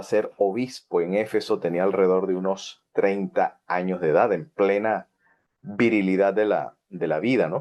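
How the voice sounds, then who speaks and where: Fairly low-pitched male speech, fairly slow, with ordinary pitch variation. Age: 40s. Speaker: Bible teacher. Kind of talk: Bible study lecture. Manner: halting, many fillers.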